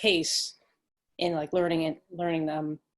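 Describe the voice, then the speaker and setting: A woman mumbles at a moderate pace. Her pitch is fairly low. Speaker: graduate student panelist. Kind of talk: casual panel discussion. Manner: mumbling.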